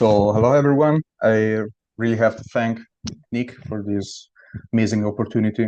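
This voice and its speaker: Long, frequent pauses break up a man's moderate-paced speech, which has a medium pitch, a dark, mellow tone, fairly even intonation, and big swings in loudness. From Italy, Friuli region. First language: Italian. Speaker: cellist and lecturer. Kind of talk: lecture. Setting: video call. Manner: halting.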